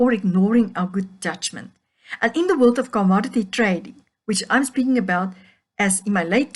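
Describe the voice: The text is read aloud plainly, with ordinary pitch variation. The background is quiet.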